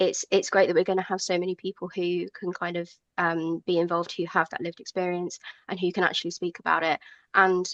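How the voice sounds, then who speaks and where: Speaking at a very fast pace in a southern English accent, a woman keeps a monotone, flat intonation and a fairly low pitch. The sound is dry and close, with no echo. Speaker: rally organiser, ally. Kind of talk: radio interview. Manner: hesitant, many fillers.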